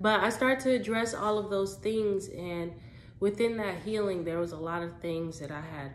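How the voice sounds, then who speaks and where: A woman at a moderate pace with ordinary pitch variation, in a room with audible echo. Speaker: vlogger. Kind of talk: casual personal vlog.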